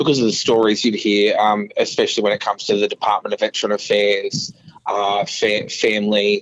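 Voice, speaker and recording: This man's pace is moderate. He talks with an Australian accent. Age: 20s. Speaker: council candidate. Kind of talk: interview. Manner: halting, many fillers.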